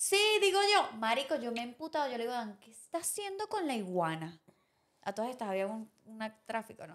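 Against a quiet background, a woman with a high pitch talks in an animated tone at a fairly quick pace, with very wide pitch swings and big swings in loudness. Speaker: podcast co-host. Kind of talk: casual chat. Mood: indignant, ranting. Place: studio. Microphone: studio mic.

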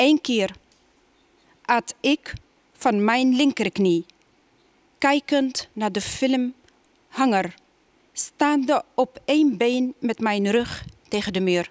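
Over a quiet background, a speaker with an Arabic accent moves at a very slow pace with long, frequent pauses. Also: woman, high pitch for a woman, ordinary pitch variation. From Tunisia. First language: Arabic (speaking Dutch). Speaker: poet. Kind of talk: poetry reading. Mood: calm, measured. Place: stage. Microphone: headset.

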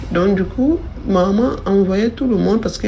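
At a fairly quick pace and medium pitch, a woman speaks with ordinary pitch variation over noticeable background noise. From Cameroon, coastal region. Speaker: storyteller. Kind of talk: testimony.

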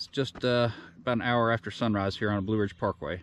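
A man's fairly low voice at a moderate pace, dry with no echo, over light background noise. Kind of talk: casual vlog chat. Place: open country. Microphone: phone near.

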